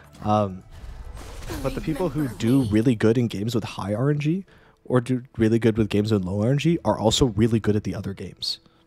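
Over music in the background, a man speaks at a medium pitch with lively intonation. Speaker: card game streamer. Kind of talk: casual live-stream talk while gaming.

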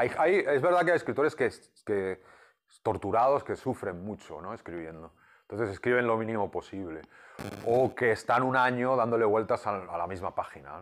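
A man speaks with lively intonation. His pace is moderate. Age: 50s. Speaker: comic book writer. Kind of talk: interview. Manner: halting, many repeated words. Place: home room. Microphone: lapel.

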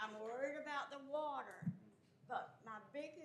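A woman's voice carries audible room echo. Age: 80s+. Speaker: resident speaking at public meeting. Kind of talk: public comment.

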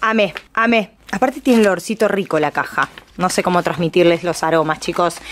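At a fairly quick pace, a woman speaks at medium pitch in an animated tone with very even loudness and ordinary pitch variation. Light background noise is present. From Argentina. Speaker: YouTuber. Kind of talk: unboxing vlog. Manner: fast. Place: home room.

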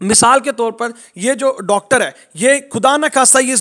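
His voice sits at an extremely high pitch for a man. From Pakistan, Multan. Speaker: network marketing trainer. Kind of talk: online training session.

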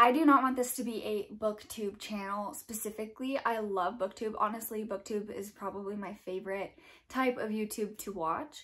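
A woman talks with ordinary pitch variation and a moderate pace, the background quiet. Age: 20s. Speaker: book and lifestyle YouTuber; channel host. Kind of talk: casual vlog monologue. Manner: casual, with filler words. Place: home room.

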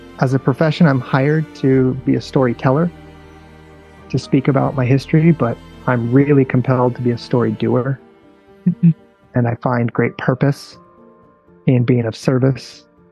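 A man at a moderate pace with ordinary pitch variation, long, frequent pauses and a dry sound with no echo, faint music in the background. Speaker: interview guest. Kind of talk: interview answer. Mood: earnest, purposeful. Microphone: earbuds.

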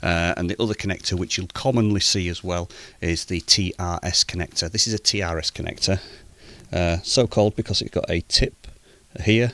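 A man's very deep, low voice, bright and sharp in tone, at a fairly quick pace with fairly even intonation, dry with no echo. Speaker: amateur radio hobbyist. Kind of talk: tutorial. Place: home room. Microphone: studio mic.

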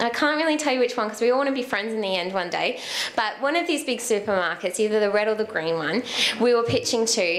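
Over noticeable background noise, someone with an Australian accent talks very fast with lively intonation. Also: woman. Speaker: social enterprise co-founder. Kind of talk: talk to a meetup audience. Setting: live in-person meetup with audience. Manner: conversational, inspirational.

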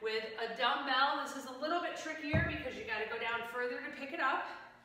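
A woman speaks in a raised, projected voice at a fairly slow pace. Strong room echo fills the recording. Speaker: fitness instructor. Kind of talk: workout instruction cues. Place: gym. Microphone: camera far.

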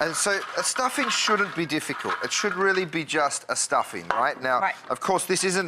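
Against loud background noise, a man speaks at a moderate pace with hardly any pauses. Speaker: guest. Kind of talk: cooking demonstration. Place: studio. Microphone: lapel.

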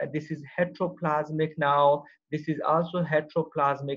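The speaker has an unremarkable speaking voice and talks at a moderate pace. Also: man. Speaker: university professor. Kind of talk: online lecture. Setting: video call. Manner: code-mixes Hindi-Urdu and English.

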